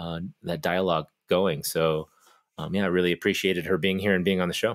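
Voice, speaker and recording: On a very clean recording with a silent background, a man with a very deep, low voice speaks at a fairly quick pace. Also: dry, close sound with no echo. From US South. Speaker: podcast co-host. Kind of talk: casual chat.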